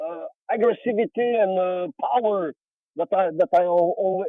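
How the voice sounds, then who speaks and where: Here a man with a high pitch speaks at a moderate pace. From Belgium, near Charleroi. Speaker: metal vocalist and bassist. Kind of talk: podcast interview. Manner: halting, many fillers.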